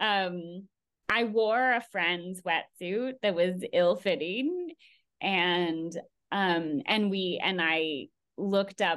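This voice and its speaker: Against a quiet background, a woman with a Californian accent speaks at a very slow pace, her medium-pitched voice showing ordinary pitch variation. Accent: Californian American. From California, Bay Area. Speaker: environmental artist. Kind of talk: interview.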